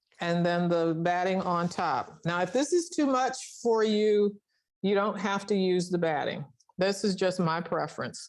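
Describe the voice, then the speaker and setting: Here is a woman at medium pitch, talking fairly slowly. Her pitch varies in an ordinary way and her loudness stays very even. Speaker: sewing instructor. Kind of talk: tutorial. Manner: halting.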